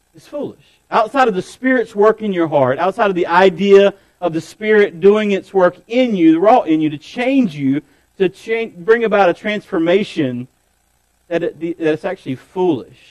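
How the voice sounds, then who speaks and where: A man with a high voice speaks at a moderate pace, his lively intonation and big swings in loudness captured in a dry, close recording with no echo. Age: 40s. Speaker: pastor. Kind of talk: sermon.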